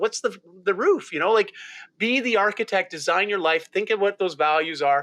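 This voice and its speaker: Animated and bright with a sharp tone, a man with a Canadian accent talks at a high pitch and a fairly quick pace with lively intonation. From rural Ontario, Canada. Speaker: lifestyle mentor and keynote speaker. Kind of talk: podcast interview.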